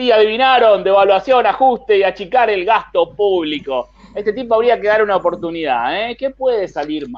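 His intonation is lively. The man's pitch sits high. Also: moderate pace. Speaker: comedian. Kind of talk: comedy segment.

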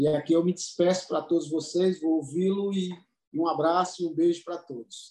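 A man speaks at a moderate pace in a high pitch with a dark, mellow tone and fairly even intonation. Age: 60s. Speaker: business consultant. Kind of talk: panel discussion.

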